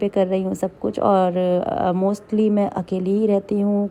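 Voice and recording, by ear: A woman speaks with a dark, mellow tone and little pitch movement.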